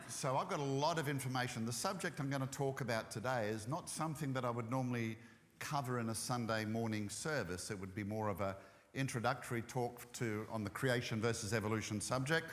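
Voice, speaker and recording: Someone with an Australian accent speaks at a fairly quick pace with ordinary pitch variation. Audible room echo surrounds the voice. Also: man, medium pitch for a man. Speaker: ministry speaker. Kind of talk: church talk. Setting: church.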